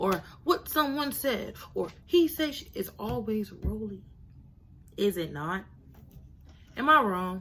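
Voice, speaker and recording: Her tone is animated, with very wide swings around a medium pitch. The woman's voice also carries vocal fry. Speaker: YouTube reality TV commentator. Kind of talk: casual commentary, reality show review.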